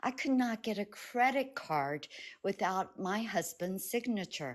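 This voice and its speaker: A woman with an American accent speaks in an ordinary speaking voice with lively intonation over a quiet background. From United States. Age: 60s. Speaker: caller. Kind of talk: casual chat.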